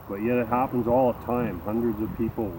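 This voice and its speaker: A man speaks over noticeable background noise. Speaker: YouTuber, hobby farmer and musician. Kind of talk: casual vlog talk.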